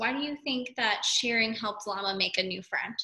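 The speaker is a woman. Little can be heard behind her. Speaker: teacher. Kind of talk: read-aloud lesson to young children. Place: classroom. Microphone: webcam.

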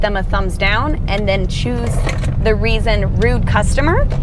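Music plays behind a woman's voice. There is no echo, and the sound stays dry. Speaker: gig shopper vlogger. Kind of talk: casual vlog chat. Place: car. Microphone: lapel.

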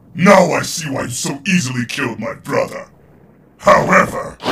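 A man puts on a character voice pitched high. His pace is moderate. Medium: dub. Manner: menacing, shouting.

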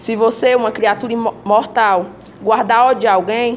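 Light background noise sits behind a woman. She speaks at a moderate pace with fairly even intonation. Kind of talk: scripture reading. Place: classroom.

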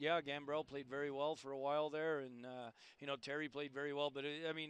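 A man speaks at a fairly quick pace with a clear, smooth, fairly bright tone. His pitch sits fairly high and shows little movement.

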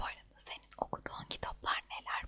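A woman whispering at a fairly quick pace. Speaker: ASMR creator. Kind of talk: ASMR monthly empties review talk to camera. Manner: whispered.

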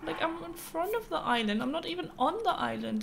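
A woman talks with a German accent at a moderate pace. Light background noise can be heard. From North Germany. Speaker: streamer. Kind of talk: live gameplay commentary. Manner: casual, chatty. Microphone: studio mic.

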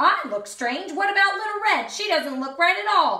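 A woman puts on a character voice at an extremely high pitch, swinging widely up and down with a bright, sharp tone at a moderate pace amid strong room echo.

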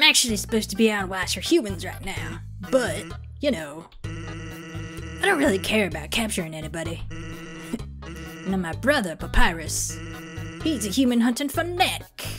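Someone does a put-on character voice over clear background music, with long, frequent pauses. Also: moderate pace. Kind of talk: casual gaming commentary. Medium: read story. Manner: laid-back, relaxed.

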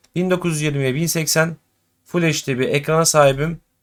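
Over a very clean recording with a silent background comes a man with an ordinary speaking voice. His pitch is fairly high, with fairly even intonation. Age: 20s. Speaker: gaming YouTuber. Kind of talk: tutorial. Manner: casual, chatty.

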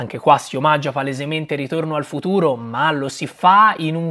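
With a Tuscan accent, a man speaks at a moderate pace. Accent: Tuscan Italian. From Tuscany, Italy. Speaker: film reviewer youtuber. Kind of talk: casual film review monologue. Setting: at home beside Christmas tree. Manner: animated. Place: home room.

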